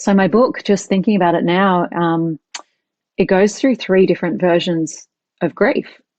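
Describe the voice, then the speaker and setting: A woman with an Australian accent at a moderate pace, with ordinary pitch variation and very even loudness. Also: medium pitch for a woman. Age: 40s. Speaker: author and emotional intelligence teacher. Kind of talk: podcast interview.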